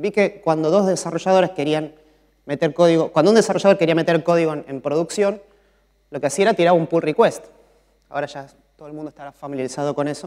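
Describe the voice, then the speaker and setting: Over a quiet background, a man talks very fast with ordinary pitch variation and big swings in loudness. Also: fairly high pitch for a man. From Argentina. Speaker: mobile software developer; conference speaker. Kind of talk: conference talk. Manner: frequent filler 'eh' hesitations. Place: stage. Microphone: lapel.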